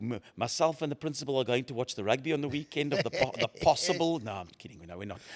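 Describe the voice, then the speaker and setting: Very fast and dry, with a close sound and no echo, a man's fairly high voice shows vocal fry, very wide pitch swings, and big swings in loudness. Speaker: breakfast radio host. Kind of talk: casual interview answers, anecdotal and humorous. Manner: loud, outgoing, animated.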